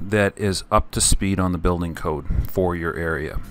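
A man with a Canadian accent and an unremarkable speaking voice, lively intonation and a moderate pace. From Canada. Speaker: spray foam insulation contractor and video host. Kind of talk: tutorial-style Q&A answering viewer questions.

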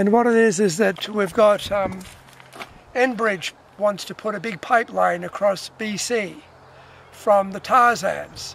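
A man talks at a fairly slow pace and a high pitch, with fairly even intonation and long, frequent pauses. The sound is dry with no echo, and there is light background noise. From Australia. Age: 60s. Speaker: protest cyclist. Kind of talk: casual conversation outdoors. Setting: outdoors. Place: open country. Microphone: camera far.

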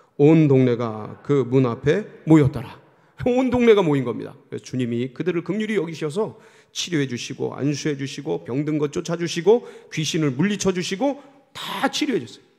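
A man with a fairly high pitch and a dark, mellow tone talks at a moderate pace, his pitch swinging very widely over a quiet background. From South Korea. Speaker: senior pastor; pastor. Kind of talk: sermon. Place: church. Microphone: podium.

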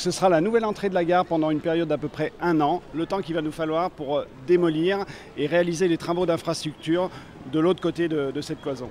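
The speech moves at a fairly quick pace with fairly even intonation. The sound is dry with no echo, over light background noise. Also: man, high pitch for a man. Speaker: railway project manager interviewed. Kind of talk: explanatory interview soundbite. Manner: halting, hesitant, with repeats and fillers. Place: station. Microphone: handheld.

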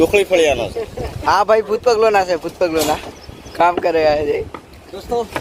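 Noticeable background noise runs under this recording. The speaker is a man with a high pitch. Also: ordinary pitch variation. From Panchmahal district, Gujarat, India. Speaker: village folk artist and vlogger, construction worker. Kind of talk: casual vlog. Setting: outdoors at a construction site. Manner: animated.

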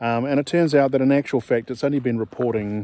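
A man's dark, mellow tone with ordinary pitch variation, in a dry sound with no echo. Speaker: off-grid homesteader vlogger. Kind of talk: casual vlog chat. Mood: relaxed, self-deprecating humor. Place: forest. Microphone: phone near.

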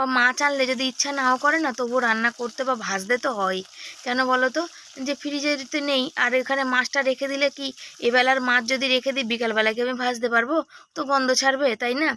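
A raised, projected voice carries fairly even intonation over noticeable background noise. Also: woman, high pitch for a woman. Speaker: vlogger and homemaker. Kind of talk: casual vlog narration. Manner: loud.

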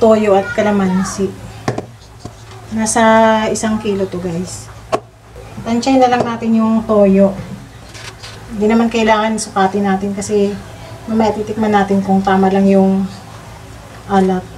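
A woman speaks at a fairly slow pace in a flat monotone, with long, frequent pauses and noticeable background noise. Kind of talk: cooking tutorial chat. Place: kitchen. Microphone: phone near.

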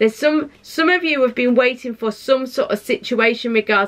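A woman speaks in a bright, sharp tone with ordinary pitch variation. Her pace is moderate. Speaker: tarot reader. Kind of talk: pick-a-card reading, casual direct address. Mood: reassuring, warm, some laughter. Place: home room.

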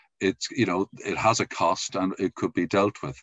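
A man with an Irish accent talks at a moderate pace and a fairly low pitch, the sound dry with no echo against a quiet background. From Ireland. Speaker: podcast host; podcast interviewer. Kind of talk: interview. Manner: halting. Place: home room. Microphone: video call.

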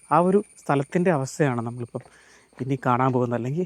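A man's lively intonation comes through a dry, close sound with no echo. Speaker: travel vlogger. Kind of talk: vlog narration. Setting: outdoors.

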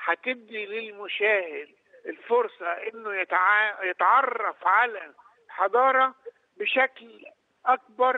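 A man speaks at a fairly slow pace with few pauses, his pitch high and its variation ordinary, in a dry, close sound with no echo.

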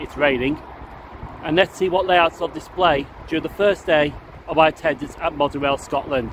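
With noticeable background noise but a dry sound with no echo, a man speaks at a moderate pace with fairly even intonation. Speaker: hobby vlogger. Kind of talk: casual vlog chat. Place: street. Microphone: phone near.

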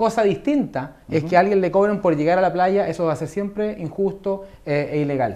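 This man talks at a fairly quick pace with hardly any pauses, his high-pitched voice dark and mellow in tone, with ordinary pitch variation. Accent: Chilean. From Chile, San Bernardo south of Santiago; Chile. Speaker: government minister. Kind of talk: TV news interview. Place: studio. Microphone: lapel.

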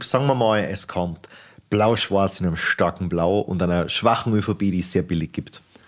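A man with a plain, everyday voice, moderate in pace, with ordinary pitch variation. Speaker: podcast host. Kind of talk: podcast interview.

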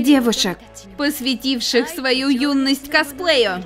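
A high-pitched woman at a very slow pace over music in the background. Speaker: voice actor. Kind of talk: movie trailer.

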